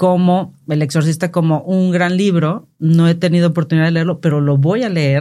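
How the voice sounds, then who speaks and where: Her tone dark and mellow, a woman with a fairly low pitch speaks at a moderate pace with hardly any pauses, fairly even intonation, and very even loudness. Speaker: podcast host. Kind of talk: casual chat.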